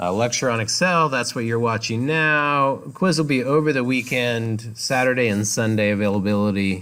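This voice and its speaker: The voice is loud with a bright, sharp tone, ordinary pitch variation, a moderate pace and hardly any pauses, on a very clean recording with a silent background. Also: man, medium pitch for a man. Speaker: college instructor. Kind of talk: lecture. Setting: classroom.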